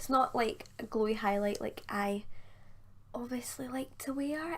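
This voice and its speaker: High-pitched female voice, pitch moving in an ordinary way. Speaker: beauty youtuber. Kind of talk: casual chat. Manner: fast.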